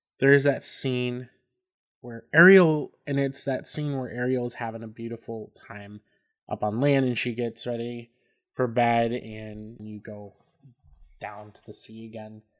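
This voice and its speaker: An ordinary speaking voice from a man, medium in pitch, at a fairly slow pace. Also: fairly even intonation, big swings in loudness. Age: 30s. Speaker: podcast co-host. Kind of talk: casual chat.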